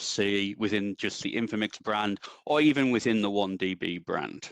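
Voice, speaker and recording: This man speaks with an English accent at a moderate pace, his pitch fairly low with ordinary variation. The sound is dry and close, with no echo. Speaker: database consultant. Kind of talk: technical presentation. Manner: hesitant, many ums.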